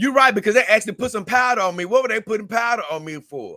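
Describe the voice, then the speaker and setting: On a very clean recording with a silent background, a man speaks in a raised, projected voice. His tone is bright and sharp, and his pace is fairly quick. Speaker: livestream host. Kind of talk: casual livestream chat reading comments. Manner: animated.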